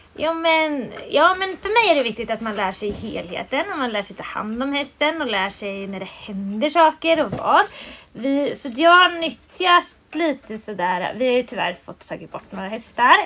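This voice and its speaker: A woman's high, raised and projected voice with very wide pitch swings, big swings in loudness and noticeable background noise. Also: moderate pace. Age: 20s. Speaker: riding school owner and instructor. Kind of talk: casual interview. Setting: at a pony stable.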